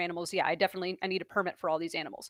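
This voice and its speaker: A woman talks with an American accent. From New York. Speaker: reptile keeper and former geology teacher. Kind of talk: live stream Q&A. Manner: fast; halting.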